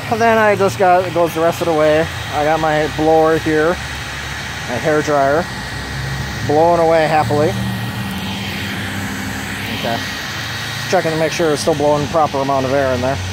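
The speech moves at a moderate pace, broken by long, frequent pauses. The sound is dry with no echo, though there is noticeable background noise. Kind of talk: casual show-and-tell. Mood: pleased, relaxed. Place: garden. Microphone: phone near.

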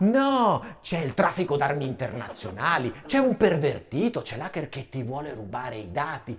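Against light background noise, a man with a fairly high pitch talks in an animated, theatrical tone with very wide pitch swings. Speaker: stand-up comedian. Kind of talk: stand-up comedy routine. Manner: animated, mock-outraged, theatrical; fast, punchline-driven with comic pauses. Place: studio.

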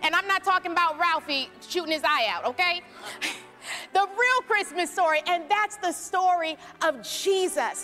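A woman projects her voice at a moderate pace with ordinary pitch variation. Faint music plays in the background. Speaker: speaker. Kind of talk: storytelling monologue to congregation. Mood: warm, playful. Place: church. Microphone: handheld.

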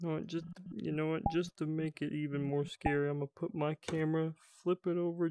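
A man with a fairly high pitch and a dark, mellow tone speaks in a flat monotone at a moderate pace, the sound dry with no echo and light noise in the background. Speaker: gamer. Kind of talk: casual chat. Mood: nervous, playful. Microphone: headset.

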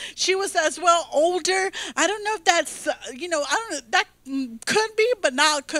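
An extremely high, bright, sharp woman's voice at a fairly slow pace, with ordinary pitch variation, a dry sound with no echo and a quiet background. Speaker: pastor. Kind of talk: sermon. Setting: church stage, streamed video. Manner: animated. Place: stage. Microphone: handheld.

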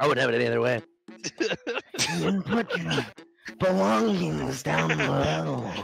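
A man puts on a character voice, very deep and raspy, with very wide pitch swings. He goes at a moderate pace with long, frequent pauses. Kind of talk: comic tabletop improv. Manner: sleazy, overly friendly, boastful.

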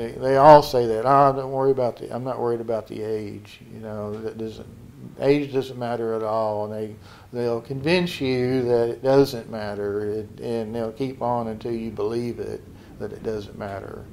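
This man speaks at medium pitch and a moderate pace. His intonation stays fairly even. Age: 60s. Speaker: dating show contestant. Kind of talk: interview answer. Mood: reflective, complaining about scams. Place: office. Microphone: handheld.

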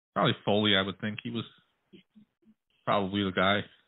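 A man's fairly low-pitched voice with vocal fry, little pitch movement and a fairly quick pace.

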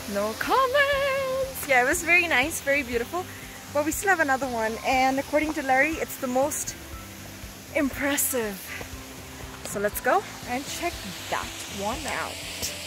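A woman speaks in a raised, projected voice at a moderate pace with lively intonation and long, frequent pauses, the sound dry with no echo and music playing in the background. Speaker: travel vlogger. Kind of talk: casual vlog chat. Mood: cheerful, excited. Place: waterside. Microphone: phone near.

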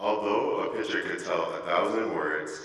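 A man talks at a moderate pace while audible room echo follows his voice. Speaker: student event emcee. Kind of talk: formal introduction. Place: church. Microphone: podium.

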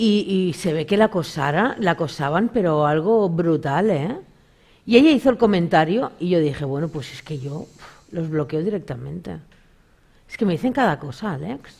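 A woman's fairly low voice at a moderate pace, lively in intonation with big swings in loudness, over a quiet background. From Galicia, Spain. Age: 40s. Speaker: spiritual medium; talk show guest. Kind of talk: casual interview with audience readings. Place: studio.

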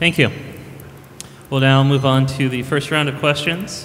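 With an American accent, a man speaks at a fairly quick pace in a medium pitch. His intonation is monotone and flat, with light background noise. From Charlton, Massachusetts; Massachusetts. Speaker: debate moderator, software engineer; debate moderator. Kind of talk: debate moderation. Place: hall. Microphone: podium.

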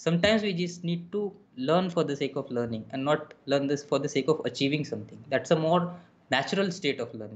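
This man talks at a fairly quick pace in a somewhat breathy voice with a fairly high pitch. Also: ordinary pitch variation. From India. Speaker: drummer and music educator; music educator. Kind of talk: casual interview. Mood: warm, enthusiastic. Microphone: webcam.

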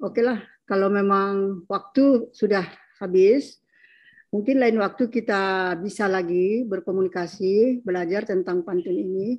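A woman with a normal speaking voice talks at a fairly slow pace, medium in pitch, with fairly even intonation. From North Sumatra, Mandailing area. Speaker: academic panelist. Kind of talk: panel discussion. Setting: video call.

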